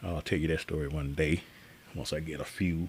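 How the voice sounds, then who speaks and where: A man with a very deep, low pitch and vocal fry speaks at a moderate pace. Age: 60s. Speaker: guitarist live streamer. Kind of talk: live stream chat. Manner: casual, halting with fillers.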